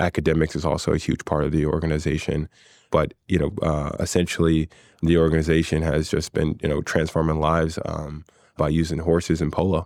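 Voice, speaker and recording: A man's very deep, low voice in a monotone, flat intonation, at a fairly quick pace, with a dry, close sound with no echo and a very clean recording, silent background. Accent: American. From US, West Philadelphia. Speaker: polo player and financial analyst. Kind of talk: interview conversation. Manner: hesitant, many fillers.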